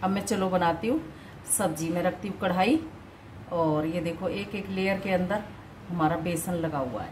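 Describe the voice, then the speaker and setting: A woman with an unremarkable speaking voice, fairly low in pitch with ordinary pitch variation, at a fairly slow pace over light background noise. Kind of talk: tutorial. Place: kitchen. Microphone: phone near.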